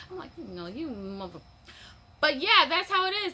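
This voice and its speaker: A woman speaks in a raised, projected voice at a moderate pace. Her pitch swings very widely, with noticeable background noise behind her. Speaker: mushroom-growing hobbyist vlogger. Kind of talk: casual vlog chat. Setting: at home on a patio/sunroom. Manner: rambling, conversational with fillers.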